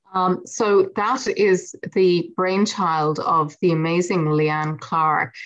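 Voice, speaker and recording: A woman with a western Irish accent, medium in pitch, at a very slow pace with hardly any pauses, very even loudness, and ordinary pitch variation. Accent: Irish, west of Ireland lilt. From west of Ireland. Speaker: poet. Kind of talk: poetry reading and interview.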